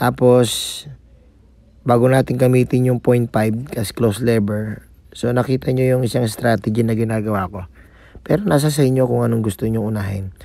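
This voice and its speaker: A man speaks at a medium pitch with a dark, mellow tone. His pace is fairly quick and his intonation fairly even. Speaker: barber vlogger. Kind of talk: tutorial. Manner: casual, filler-heavy.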